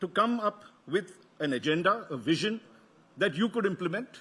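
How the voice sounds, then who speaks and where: This man has a high pitch and a South Indian accent. He speaks at a moderate pace with ordinary pitch variation. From South India, Karnataka. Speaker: media executive, event host. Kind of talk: welcome address at conference. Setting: stage with audience. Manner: halting, with false starts.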